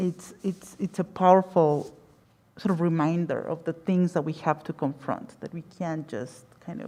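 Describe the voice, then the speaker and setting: With a Spanish accent, a woman talks in a fairly low pitch and fairly even intonation. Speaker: panelist, academic. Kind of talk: panel discussion. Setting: gallery with audience. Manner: halting, many repetitions.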